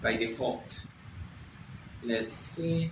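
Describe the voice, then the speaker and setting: A man with a Spanish accent speaks at a very slow pace in a medium pitch, with ordinary pitch variation. Audible room echo surrounds his voice. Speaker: software developer, tech video creator. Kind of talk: tutorial. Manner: halting.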